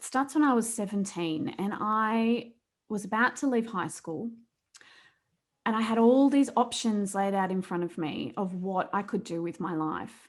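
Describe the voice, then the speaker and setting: A woman with an Australian accent speaks at a fairly slow pace, her loudness swinging widely. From Australia, rural New South Wales. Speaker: accident survivor and coach. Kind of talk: interview testimony.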